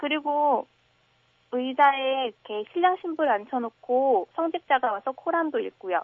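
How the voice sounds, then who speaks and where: Pitched high, a woman's voice carries lively intonation. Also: fairly slow pace. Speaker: university student. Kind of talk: radio phone interview. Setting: phone call.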